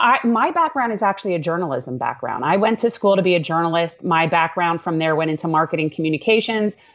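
This woman has a New York accent and a fairly low pitch. She speaks at a fairly quick pace. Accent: New York-tinged American. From Florida, US. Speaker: congressional candidate and attorney. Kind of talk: casual interview chat. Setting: live video stream.

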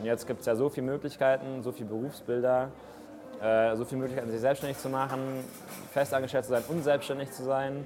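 With music in the background, a man speaks very fast at medium pitch with fairly even intonation. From Munich, Bavaria. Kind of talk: interview. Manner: casual.

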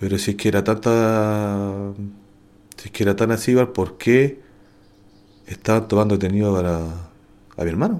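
A man's fairly low, fairly slow speech with a Chilean accent, fairly even intonation and long, frequent pauses. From Santiago, Chile. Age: 40s. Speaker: wrongly accused prisoner. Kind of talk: testimony.

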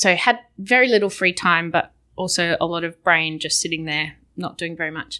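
A woman with an Australian accent and a bright, sharp tone, with ordinary pitch variation at a moderate pace. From Perth, Western Australia. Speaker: visiting colleague. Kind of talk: casual chat. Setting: studio.

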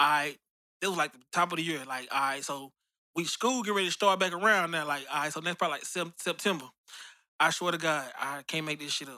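A man with an American accent, bright and sharp in tone, fairly high in pitch, at a fairly quick pace with ordinary pitch variation, on a very clean recording with a silent background. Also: big swings in loudness. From Memphis, Tennessee (Orange Mound). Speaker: rapper. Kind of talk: casual interview.

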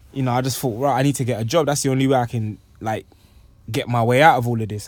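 Talking at a very fast pace, a man with a medium pitch speaks with a London accent. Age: 20s. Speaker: poet. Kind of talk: casual chat.

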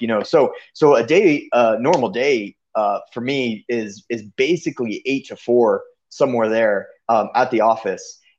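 A man speaks at medium pitch. He has an American accent. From Kenya (Nairobi, Kitale), American missionary parents. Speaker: missionary. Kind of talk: interview. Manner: halting, many fillers.

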